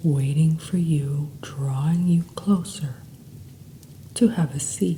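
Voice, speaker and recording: Somewhat breathy and very deep for a woman, her dark, mellow voice moves with lively intonation broken by long, frequent pauses. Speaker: hypnotherapist and meditation guide. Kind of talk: guided meditation. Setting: background sounds.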